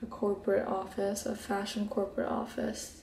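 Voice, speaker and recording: Over noticeable background noise, a woman speaks at a medium pitch in a relaxed tone. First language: Hebrew. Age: 20s. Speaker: beauty vlogger. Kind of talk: casual chat. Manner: relaxed, laid back.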